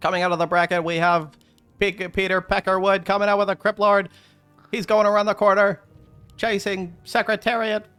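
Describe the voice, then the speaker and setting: A man's put-on character voice, high-pitched and fairly quick, with faint music in the background. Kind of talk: old radio commentary style. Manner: fast, excited race-calling delivery.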